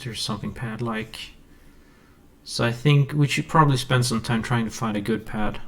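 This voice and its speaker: A man with a Swedish accent, fairly quick pace and ordinary pitch variation. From Sweden. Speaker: music producer YouTuber. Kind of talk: tutorial. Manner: halting. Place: home room.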